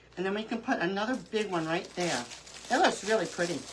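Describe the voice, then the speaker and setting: Speaking at a fairly quick pace with an American accent, a woman sounds animated at a medium pitch, with noticeable background noise behind her. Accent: New York accent, fading slightly. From Brooklyn, New York. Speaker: crafting livestreamer. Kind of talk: live craft tutorial chat.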